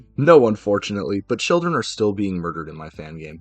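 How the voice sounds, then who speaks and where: Over music in the background, a man speaks at a fairly low pitch with very wide pitch swings. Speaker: streamer and artist. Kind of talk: casual live stream chat. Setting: live stream. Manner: halting.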